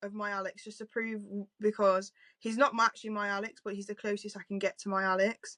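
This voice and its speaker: A woman with a British accent talks at a fairly quick pace. Her tone is bright and sharp, with big swings in loudness. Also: dry, close sound with no echo. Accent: British regional accent, self-noted. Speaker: book podcast host. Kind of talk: casual chat. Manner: animated.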